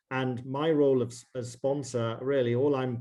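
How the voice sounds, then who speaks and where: A man with a British accent speaks in a monotone, flat intonation. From northwest England. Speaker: investment banker. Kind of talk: interview.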